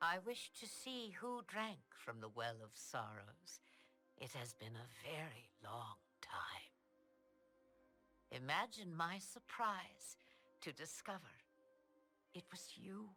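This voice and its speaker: In a put-on character voice at a middle pitch, the speaker moves at a fairly slow pace with long, frequent pauses and very wide pitch swings, as faint music plays in the background. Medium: video game. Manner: cryptic, imperious.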